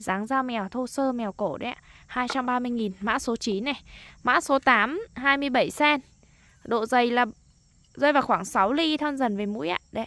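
A woman's high, bright, sharp voice at a very slow pace, with ordinary pitch variation, a dry sound with no echo and a quiet background. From Lai Châu, northern Vietnam highlands. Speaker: online knife seller. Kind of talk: sales pitch. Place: open country. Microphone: phone near.

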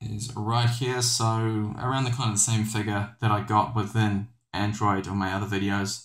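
A man speaks with a fairly low pitch and a somewhat breathy voice. His intonation is monotone and flat, with hardly any pauses. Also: moderate pace. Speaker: tech reviewer. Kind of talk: tutorial. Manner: casual, hesitant with fillers.

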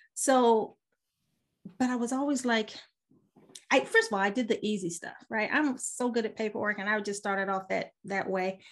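A woman with a fairly high voice speaks with long, frequent pauses. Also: ordinary pitch variation, moderate pace. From US military family, raised abroad. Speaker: business mentor and realtor. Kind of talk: casual interview. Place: home room. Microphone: webcam.

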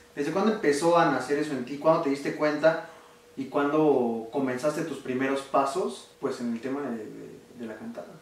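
With audible room echo, a man with a fairly high pitch talks at a moderate pace, his pitch varying in an ordinary way and his loudness swinging widely. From Oaxaca, Mexico. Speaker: online video interviewer. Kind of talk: interview. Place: home room. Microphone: camera far.

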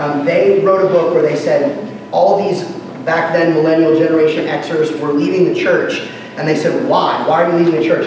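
A man's fairly high voice with fairly even intonation, in strong room echo and light background noise. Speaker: pastor. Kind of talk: conference workshop talk. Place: hall.

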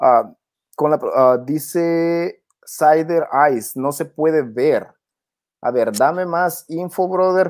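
Speaking at a very slow pace, a man uses a fairly high pitch with ordinary pitch variation. The recording is very clean, with a silent background. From Honduras. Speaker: crypto YouTuber. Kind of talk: livestream crypto chat and tutorial.

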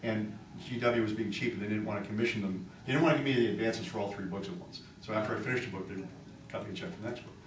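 Speech comes at a very fast pace with ordinary pitch variation and big swings in loudness, over audible room echo and light background noise. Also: man, fairly low pitch for a man. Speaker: novelist; panel writer. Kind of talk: panel discussion. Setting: stage with audience. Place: meeting room. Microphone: camera far.

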